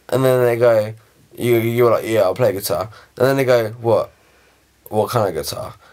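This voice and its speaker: A man speaks with a British accent. He leaves long, frequent pauses. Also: moderate pace. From England. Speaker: vlogger. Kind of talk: casual talk to camera.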